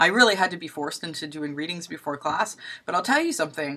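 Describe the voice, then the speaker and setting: Woman's fairly low voice with a bright, sharp tone, ordinary pitch variation and a fairly quick pace on a very clean recording with a silent background. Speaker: university instructor. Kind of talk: lecture. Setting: recorded video. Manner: fast; casual.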